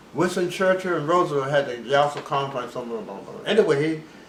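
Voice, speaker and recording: The speech moves at a very fast pace with ordinary pitch variation. Noticeable background noise sits behind it. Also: man. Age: 80s+. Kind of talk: interview answer.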